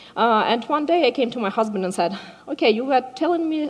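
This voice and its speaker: A woman talks at a fairly quick pace, her high pitch carrying lively intonation over noticeable background noise. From Ukraine. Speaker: software developer and community organizer. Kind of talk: conference talk. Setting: stage with audience. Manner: hesitant, many filler words.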